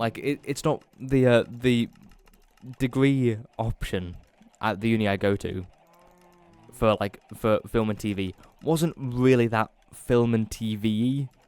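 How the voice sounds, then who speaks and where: In a northern English accent, a man speaks at a medium pitch with ordinary pitch variation. He leaves long, frequent pauses. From northern England. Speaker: gaming YouTuber. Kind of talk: casual gameplay commentary. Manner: halting, many fillers.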